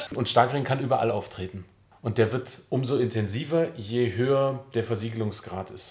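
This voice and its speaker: Somewhat breathy, a man speaks at a medium pitch and moderate pace, with ordinary pitch variation and big swings in loudness. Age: 40s. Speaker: civil engineer in city administration. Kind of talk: interview.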